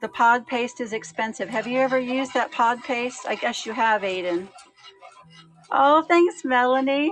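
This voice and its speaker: A woman with an American accent talks in a high pitch at a moderate pace, her intonation lively. Music plays in the background. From USA. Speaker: cooking livestream host. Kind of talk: live cooking stream chat. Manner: casual, hesitant with many fillers.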